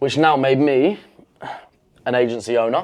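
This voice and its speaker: Speaking in a British accent, a man with a medium pitch sounds confident, keeping a moderate pace and fairly even intonation. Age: 20s. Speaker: entrepreneur. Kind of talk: casual talk to camera.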